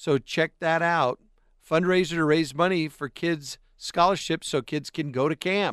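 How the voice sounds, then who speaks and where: This man has a plain, everyday voice with an American accent, pitched fairly high, and fairly even intonation at a fairly slow pace. The sound is dry and close with no echo, against a quiet background. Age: 50s. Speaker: radio host. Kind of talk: casual chat. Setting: studio.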